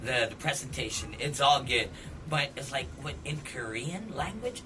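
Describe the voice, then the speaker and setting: Noticeable background noise sits under a man's voice. He talks at a moderate pace with a fairly high pitch and ordinary pitch variation. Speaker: radio DJ, club DJ, event host. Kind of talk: casual interview conversation about music.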